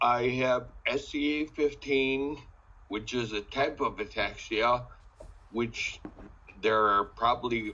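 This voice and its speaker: His voice sits at a medium pitch. The man keeps his intonation fairly even. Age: 60s. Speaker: ataxia patient advocate. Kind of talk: casual presentation.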